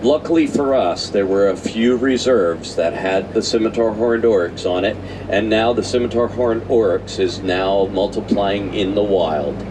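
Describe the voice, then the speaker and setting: With an animated tone and medium pitch, a man speaks amid noticeable background noise and audible room echo. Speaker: safari ride tour guide. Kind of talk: live guided tour narration. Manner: animated, addressing riders.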